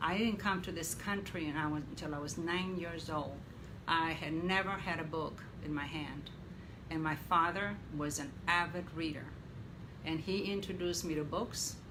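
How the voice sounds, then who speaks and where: A woman speaks at a moderate pace with fairly low pitch and fairly even intonation. Room echo is audible, along with noticeable background noise. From Mexico. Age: 70s. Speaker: interviewee, mother of host. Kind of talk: interview.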